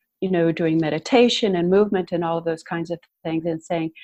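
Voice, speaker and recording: A woman at medium pitch talks with fairly even intonation in an ordinary speaking voice. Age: 60s. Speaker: empowerment coach and tango teacher. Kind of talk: podcast interview.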